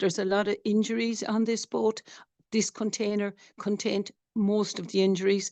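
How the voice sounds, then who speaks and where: In a strong Irish accent, a woman with a dark, mellow tone speaks at a moderate pace in a monotone, flat way, the sound dry and close with no echo. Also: medium pitch for a woman. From Ireland. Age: 60s. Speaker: doctor, flotilla activist. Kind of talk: testimony. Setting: webinar video call.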